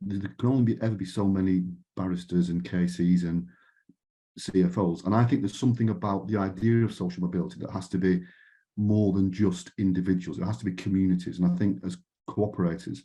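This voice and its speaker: A man with a British accent and a very deep, low pitch speaks at a very fast pace with ordinary pitch variation over a quiet background. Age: 50s. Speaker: panel speaker from a retail co-operative. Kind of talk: conference panel talk. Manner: halting, with repeated words and false starts.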